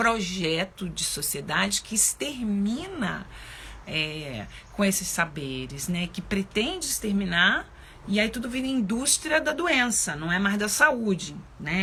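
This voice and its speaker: A woman at medium pitch and a fairly slow pace. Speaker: spiritual teacher and psychologist. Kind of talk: live stream talk. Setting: live stream.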